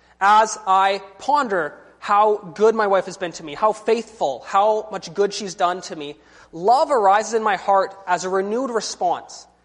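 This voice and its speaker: The speaker has a Canadian accent and a fairly slow pace, with big swings in loudness. Noticeable background noise runs underneath. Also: man, high pitch for a man, ordinary pitch variation. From British Columbia, Canada. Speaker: visiting preacher. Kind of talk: sermon.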